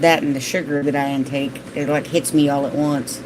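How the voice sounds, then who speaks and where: A woman speaks at a moderate pace in a very deep, low voice, with noticeable background noise. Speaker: gardening vlogger. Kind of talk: live stream chat reading viewer comments. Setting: live stream.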